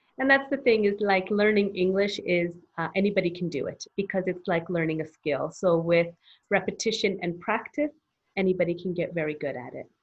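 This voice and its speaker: A plain, everyday voice with a Canadian accent, ordinary pitch variation, and a fairly quick pace. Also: woman, medium pitch for a woman. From Canada. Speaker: English teacher, business founder. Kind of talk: interview.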